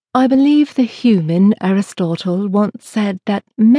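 Text is read aloud in a natural voice. Behind it, the background is quiet.

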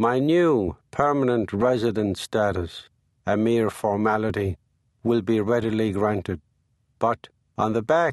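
Against a quiet background, a man with an American accent speaks at a fairly slow pace, his fairly low voice showing ordinary pitch variation in a dry, close sound with no echo. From Ireland, Limerick. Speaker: memoir author narrating his own audiobook. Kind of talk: literary memoir audiobook reading, present-tense first-person storytelling. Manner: measured, wry storytelling with dry comic timing; unhurried, conversational narration with short punchy sentences.

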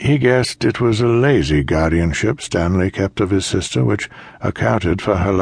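Someone reads in a natural reading voice, the intonation lively.

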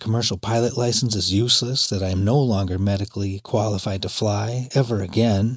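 His voice is somewhat breathy, with ordinary pitch variation. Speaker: audiobook narrator and memoir author. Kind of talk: dramatic first-person memoir narration, audiobook reading, intense and present-tense. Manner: urgent, racing, tense, with wry bitter sarcasm on lines like 'Great. Super. Superman.'.

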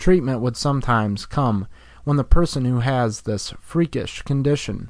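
Here is a normal speaking voice. A man talks at a medium pitch and a fairly slow pace. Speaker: audiobook narrator. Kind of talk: audiobook reading of a health how-to text. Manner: even, measured, informative; formal, steady, instructional.

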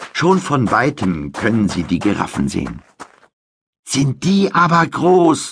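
A man talks at a very slow pace with vocal fry. His pitch swings very widely. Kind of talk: audiobook narration of a children's story, bedtime-story style. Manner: measured, clear storytelling pace for young children.

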